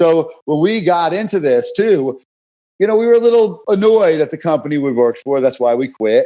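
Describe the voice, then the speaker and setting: A man's high, dark, mellow voice with very wide pitch swings at a moderate pace. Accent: New York. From New York City (Brooklyn). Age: 40s. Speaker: fitness coach. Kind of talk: podcast interview. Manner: animated, repetitive stammering.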